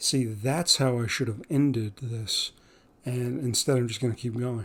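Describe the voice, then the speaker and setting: A man talks at a fairly slow pace in an American accent. His voice is somewhat breathy. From northeast Pennsylvania. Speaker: podcast host. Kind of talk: casual monologue. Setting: home recording late at night. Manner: halting, many fillers.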